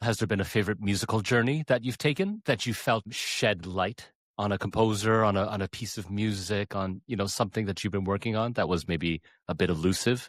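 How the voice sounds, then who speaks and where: With a Canadian accent, a man speaks fairly quickly in a plain, everyday voice at a fairly low pitch with ordinary pitch variation, the sound dry and close with no echo on a very clean recording with a silent background. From Canada. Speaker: podcast host and pianist. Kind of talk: interview.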